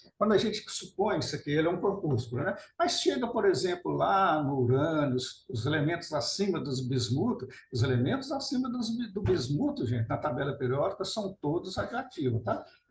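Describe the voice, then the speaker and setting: His voice is high for a man, with very wide pitch swings. He keeps a moderate pace with hardly any pauses. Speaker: nuclear scientist and author. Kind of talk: webinar lecture.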